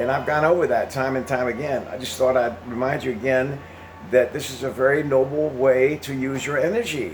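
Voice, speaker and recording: Over noticeable background noise and audible room echo, a man with an American accent speaks at a fairly quick pace, medium in pitch, with fairly even intonation. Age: 80s+. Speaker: retired veteran vlogger. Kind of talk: casual monologue. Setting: home, with exercise machine. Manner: halting, repetitive.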